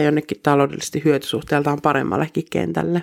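A woman's very deep, low voice with vocal fry, fairly even intonation and a moderate pace, dry and close with no echo. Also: very clean recording, silent background. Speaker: missionary devotional speaker. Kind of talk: devotional reflection ending in fervent, heartfelt prayer. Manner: warm, earnest, intimate; in prayer: fervent, imploring, pleading tone.

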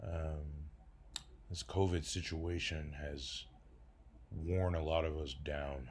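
A man with an American accent speaks very slowly in a very deep, low, somewhat breathy voice, with fairly even intonation, long, frequent pauses, and audible room echo. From Detroit, Michigan. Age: 30s. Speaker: podcaster and comedian. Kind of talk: casual monologue.

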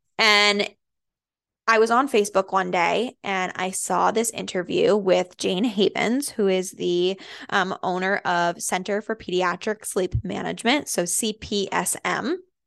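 A woman speaks at a fairly slow pace with an American accent. Her voice has vocal fry and ordinary pitch variation. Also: medium pitch for a woman, quiet background. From Massachusetts, Andover. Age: 20s. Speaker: postpartum doula and podcast host. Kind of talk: casual monologue. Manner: chatty with many fillers.

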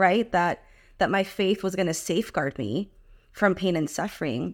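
A woman with an unremarkable speaking voice, fairly low in pitch, with ordinary pitch variation and a moderate pace, on a very clean recording with a silent background. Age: 30s. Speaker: Bible study author. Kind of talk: interview.

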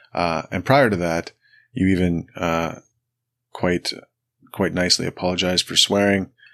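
A man with a Canadian accent speaks at a moderate pace in a very deep, low pitch, his intonation fairly even and broken by long, frequent pauses. The sound is dry and close with no echo, over a quiet background. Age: 40s. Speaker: podcast host. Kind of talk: casual interview.

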